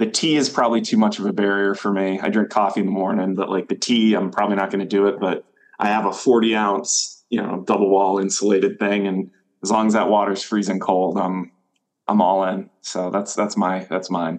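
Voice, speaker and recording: A man with an unremarkable speaking voice and an American accent talks fairly quickly. His intonation stays fairly even. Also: fairly low pitch for a man. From Maine, US. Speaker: water chemist and company CEO. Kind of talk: casual interview.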